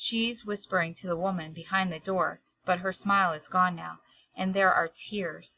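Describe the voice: Over a quiet background comes plain reading aloud. The intonation stays fairly even.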